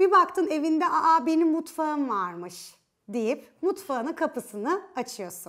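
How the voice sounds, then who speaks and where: Against a quiet background, a woman with a high voice speaks fairly slowly, her pitch swinging very widely. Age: 30s. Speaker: lifestyle video host. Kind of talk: video monologue on relationships. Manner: animated, conversational. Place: studio. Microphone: lapel.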